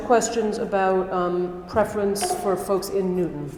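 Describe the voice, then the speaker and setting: A woman talks with ordinary pitch variation, her voice carrying audible room echo amid noticeable background noise. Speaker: rabbi. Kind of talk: reading audience questions. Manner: fast.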